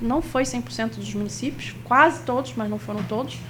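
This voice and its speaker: A woman speaks at a fairly quick pace in a Rio de Janeiro accent. Noticeable background noise and audible room echo surround her. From Rio de Janeiro, Brazil. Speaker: workshop instructor on cultural funding. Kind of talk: workshop lecture.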